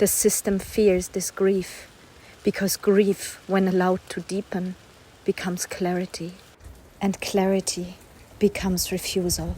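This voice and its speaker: A woman's fairly slow, monotone speech at a medium pitch, flat in intonation, with long, frequent pauses. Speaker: poet. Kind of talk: spoken word poetry reading. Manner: intense, not calm.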